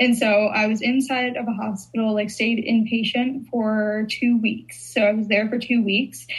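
A woman with an American accent speaks at a moderate pace with hardly any pauses. Her voice is fairly high, somewhat breathy and fairly even in intonation. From Chicago. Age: 20s. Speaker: content creator. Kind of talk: casual chat.

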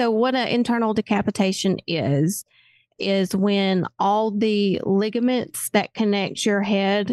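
A woman with a Southern US accent speaks at medium pitch with fairly even intonation and very even loudness, the sound dry and close with no echo over a quiet background. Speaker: paramedic, crash survivor. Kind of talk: testimony.

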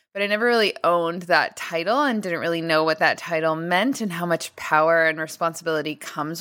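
Fairly quick speech from a woman. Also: very clean recording, silent background. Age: 30s. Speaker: podcast host and business founder. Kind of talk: solo podcast monologue.

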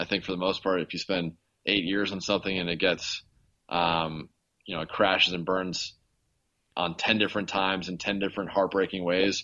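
A man with an American accent speaks at a very deep, low pitch. His pace is fairly quick and his intonation monotone and flat. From Los Angeles, US. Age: 30s. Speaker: podcast host and investigative journalist. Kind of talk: interview, casual chat.

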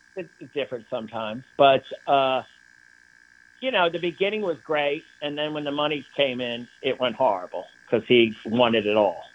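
Using a normal speaking voice, a man speaks at a moderate pace with a medium pitch. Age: 60s. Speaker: artist. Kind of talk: interview. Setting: remote interview from his studio.

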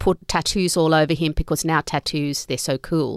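With an Australian accent, a woman speaks in a very deep, low voice, the sound dry and close with no echo. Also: very clean recording, silent background. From Australia, Sydney, Italian family. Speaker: author. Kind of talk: interview. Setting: studio.

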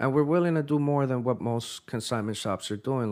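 A man with an American accent talks in a normal speaking voice at a fairly quick pace, with ordinary pitch variation. The recording is very clean, with a silent background. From US Northeast (tri-state area). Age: 30s. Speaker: sneaker store founder. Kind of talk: casual interview. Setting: studio.

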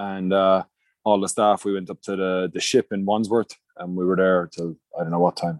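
In a Munster Irish accent, the speaker talks at a moderate pace, with a dry, close sound, no echo and a quiet background. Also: man. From Ireland, Munster. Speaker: rugby coach. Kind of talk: casual chat.

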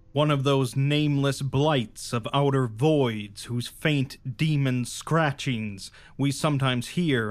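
Fairly slow and with fairly even intonation, a plain, everyday voice delivers the words. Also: man. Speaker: audiobook narrator. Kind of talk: dramatic first-person horror narration read aloud. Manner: dark, brooding storytelling with rising dread; measured, deliberate pacing over long ornate sentences.

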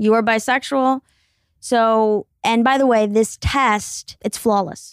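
A woman's plain, everyday voice, fairly high in pitch, at a fairly slow pace with fairly even intonation, on a very clean recording with a silent background and a dry, close sound with no echo. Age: 20s. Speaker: comedian and podcast host. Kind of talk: solo podcast intro; casual chat. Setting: recording intro while traveling in Greece.

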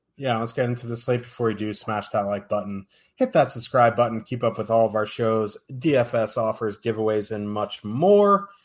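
An unremarkable speaking voice, a man talks at a medium pitch and moderate pace with hardly any pauses. His intonation is fairly even, and the background is quiet. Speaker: podcast host. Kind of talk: casual sports betting show. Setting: live stream.

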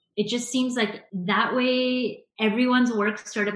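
A woman speaks in a somewhat breathy voice. She has a Canadian accent. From Canada, Vancouver suburbs. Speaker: graphic designer and illustrator. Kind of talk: interview.

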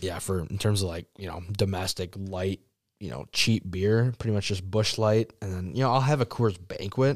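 On a very clean recording with a silent background, a man with an American accent uses a plain, everyday voice, fairly low in pitch, with ordinary pitch variation at a moderate pace. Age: 20s (about 20). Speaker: pizza shop worker and mason. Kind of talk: casual chat. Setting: studio.

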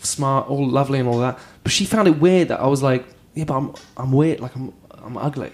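An ordinary speaking voice from a man, fairly high in pitch, fairly quick in pace, with ordinary pitch variation. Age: 30s. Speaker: comedian. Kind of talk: casual chat.

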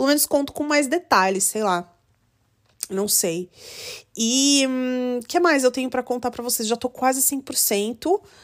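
A woman with a high voice speaks at a fairly slow pace with lively intonation and long, frequent pauses, on a very clean recording with a silent background. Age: 30s. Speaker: podcaster. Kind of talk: casual monologue. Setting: at home in bed.

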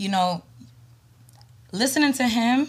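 On a very clean recording with a silent background, a woman with an American accent speaks with lively intonation and a somewhat breathy quality. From New York. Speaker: podcast guest. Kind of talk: casual chat.

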